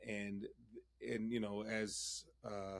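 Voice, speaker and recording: A man's fairly low voice with an American accent and monotone, flat intonation. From US Northeast, Philadelphia. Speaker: music professor and choir director. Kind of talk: interview conversation.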